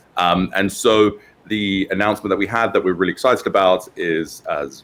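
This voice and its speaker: A man talks in a British accent at a fairly quick pace. His pitch is fairly low and his intonation fairly even. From UK. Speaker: tech company founder and CEO. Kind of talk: interview. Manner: hesitant, many fillers.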